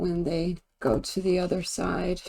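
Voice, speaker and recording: A woman speaks quietly with a dark, mellow tone. Her pitch sits in the middle range, and her intonation stays monotone and flat. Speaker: tarot and pendulum reader. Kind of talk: divination reading.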